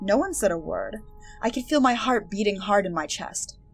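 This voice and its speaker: Music plays behind a woman whose voice sits at a medium pitch. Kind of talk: audiobook-style game book reading.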